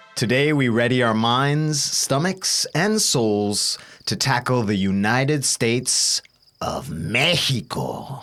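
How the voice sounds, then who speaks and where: Against noticeable background noise, a man speaks at a very slow pace and medium pitch, with lively intonation and very even loudness. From Bolivia. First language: Spanish. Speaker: podcast co-host. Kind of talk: scripted podcast intro.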